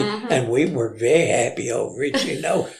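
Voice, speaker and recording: An Alabama accent over noticeable background noise. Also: man. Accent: Southern US (Alabama). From Limestone County, Alabama. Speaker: storyteller. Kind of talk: interview answer, reminiscing story.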